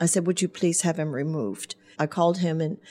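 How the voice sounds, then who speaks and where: On a very clean recording with a silent background, a woman with a German accent speaks at fairly low pitch and a moderate pace with ordinary pitch variation. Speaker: hairdresser and business owner. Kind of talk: radio interview. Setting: studio.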